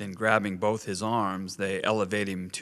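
The intonation stays fairly even while the text is read aloud in a natural voice.

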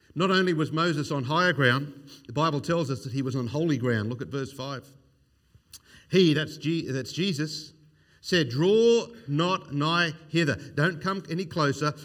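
In an Australian accent, a man talks at a moderate pace with a fairly high pitch and ordinary pitch variation, with audible room echo. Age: 50s. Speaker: evangelist. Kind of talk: sermon.

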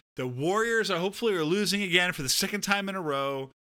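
In a raised, projected voice, a man with an American accent speaks at a high pitch and a moderate pace, his tone bright and sharp and his intonation lively, on a very clean recording with a silent background. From Southern California. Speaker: podcast co-host. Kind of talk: casual chat.

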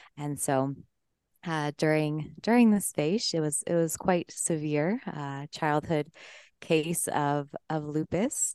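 Very slowly, a woman with an American accent speaks at a very deep, low pitch with ordinary pitch variation, her tone dark and mellow against a quiet background. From Colorado. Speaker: breathwork coach and entrepreneur. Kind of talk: interview conversation.

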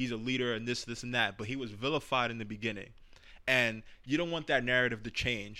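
In a New York accent, a man at medium pitch speaks at a fairly quick pace with fairly even intonation. His tone is bright and sharp, and the recording is very clean with a silent background. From New York City, the Bronx. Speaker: podcast host. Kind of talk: casual chat.

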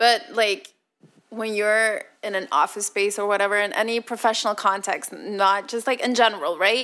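A woman speaks at a moderate pace with a fairly high pitch and a bright, sharp tone. Her intonation is fairly even, and the recording is very clean with a silent background. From Belgium. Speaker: podcast co-host. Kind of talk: casual chat. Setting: recorded from Brussels.

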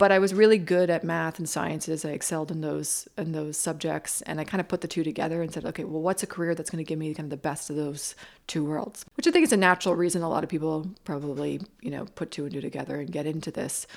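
On a very clean recording with a silent background, a woman with a Maritime Canadian accent and a very deep, low voice talks at a very fast pace with hardly any pauses and fairly even intonation. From Nova Scotia, Canada (Bridgewater). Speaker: architect. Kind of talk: interview. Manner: hesitant, with fillers and restarts.

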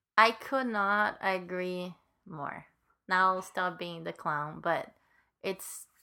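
With a Latin American accent, a woman speaks very slowly in a bright, sharp tone, her pitch fairly low and her intonation fairly even, on a very clean recording with a silent background. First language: Spanish. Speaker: co-host, accessibility advocate. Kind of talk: casual chat.

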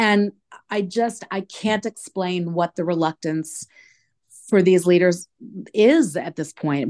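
Over a quiet background, a woman with an ordinary speaking voice talks at a fairly slow pace with ordinary pitch variation. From New York. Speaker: advocacy campaign director. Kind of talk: interview.

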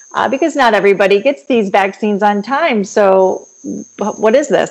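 A woman with an American accent speaks in a normal speaking voice at medium pitch and a moderate pace. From Michigan. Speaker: medical doctor. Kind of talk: interview. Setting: remote recording.

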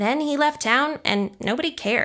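This is an unremarkable speaking voice. The woman keeps a moderate pace, and her pitch varies in an ordinary way. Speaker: story reader. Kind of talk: reading aloud a story.

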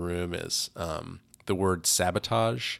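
The recording is very clean and the background silent. The speech carries an American accent. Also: man. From US West, California. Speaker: activist and artist. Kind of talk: interview. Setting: studio. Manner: halting, many fillers.

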